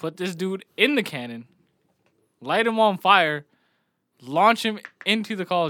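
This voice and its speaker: A man's high, raised, projected voice, bright and sharp, animated and lively in intonation, at a fairly slow pace with long, frequent pauses. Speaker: podcast co-host. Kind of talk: casual chat.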